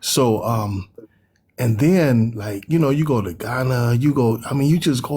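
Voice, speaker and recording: Speaking fairly slowly with an American accent, a man's somewhat breathy voice sits at a medium pitch. His pitch varies in an ordinary way. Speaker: panelist. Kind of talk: casual panel discussion. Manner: animated.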